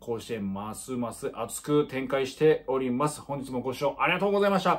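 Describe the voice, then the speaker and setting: A man speaks in a fairly high pitch with lively intonation. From Miyagi, Japan (Tohoku). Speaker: high school baseball commentator; baseball commentator vlogger. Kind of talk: casual sports commentary monologue. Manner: many filler words (えー, まあ). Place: home room. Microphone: phone near.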